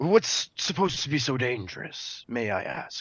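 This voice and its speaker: A man puts on a character voice, pitched fairly high, at a moderate pace. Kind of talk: formal noble speech. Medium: actual play. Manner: stammering, filler-heavy.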